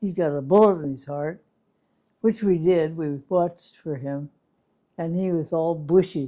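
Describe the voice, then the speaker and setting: At a fairly slow pace with long, frequent pauses, a woman speaks in a fairly low pitch with a dark, mellow tone and ordinary pitch variation. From California. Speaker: retired nurse, WWII witness. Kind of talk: oral history interview.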